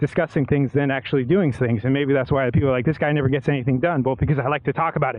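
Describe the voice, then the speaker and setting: Over noticeable background noise, a man speaks very fast at a medium pitch. His intonation is fairly even. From United States. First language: bilingual English and Spanish. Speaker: cycling vlogger. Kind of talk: casual monologue while cycling. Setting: outdoors on a bike. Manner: halting.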